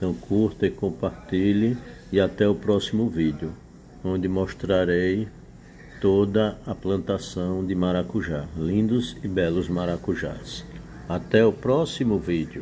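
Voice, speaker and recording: Very deep, low-pitched man with a dark, mellow tone, ordinary pitch variation, a very slow pace, and light background noise. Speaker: rural channel host. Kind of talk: casual vlog chat. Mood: proud, cheerful. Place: home room. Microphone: phone near.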